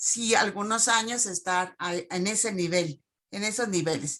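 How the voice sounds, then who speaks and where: Here is a woman's voice. She speaks at a fairly slow pace. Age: 60s. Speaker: teacher. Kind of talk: Q&A comment in online talk. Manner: halting.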